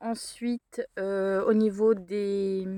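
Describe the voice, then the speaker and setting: A woman speaks at a medium pitch with a dark, mellow tone and fairly even intonation. The sound is dry and close, without echo. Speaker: craft vlogger. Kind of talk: casual vlog. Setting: in a car. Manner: hesitant.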